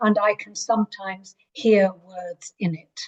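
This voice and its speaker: Very slowly, a woman speaks at a medium pitch with an English accent. Her pitch variation is ordinary, and the sound is dry and close with no echo. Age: 60s. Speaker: writer. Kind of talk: interview. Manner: hesitant.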